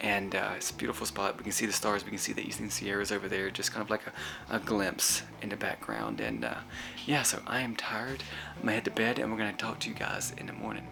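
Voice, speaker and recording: A man whispers at a very fast pace. There is noticeable background noise. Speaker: RV travel vlogger. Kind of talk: casual vlog narration. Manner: whispering.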